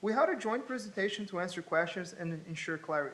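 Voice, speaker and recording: A man with a Portuguese accent talks at a fairly quick pace, his pitch high and his intonation lively. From Brazil. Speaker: college student. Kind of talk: student presentation.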